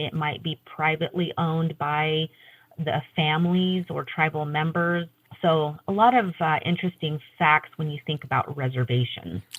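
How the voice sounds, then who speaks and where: A somewhat breathy woman's voice, very deep and low in pitch, with ordinary pitch variation and a moderate pace. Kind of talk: interview answer.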